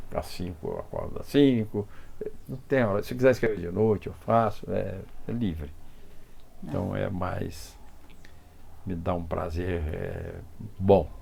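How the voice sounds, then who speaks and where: A man with a fairly low pitch and dark, mellow tone speaks somewhat breathily at a fairly slow pace, with ordinary pitch variation, long, frequent pauses and audible room echo. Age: 80s+. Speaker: film director. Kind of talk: interview. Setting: at home.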